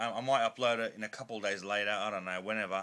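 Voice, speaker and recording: A man mumbles at a medium pitch. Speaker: collector video blogger. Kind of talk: casual vlog monologue. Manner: loud; mumbling.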